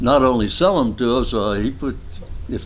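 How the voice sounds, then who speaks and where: A man with a Midwestern accent talks at a moderate pace. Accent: American Midwestern. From Nebraska, USA. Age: 80s+. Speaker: artist, creator of a car sculpture. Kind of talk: interview answer.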